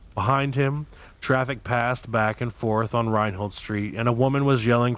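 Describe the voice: What we hear is plain reading aloud.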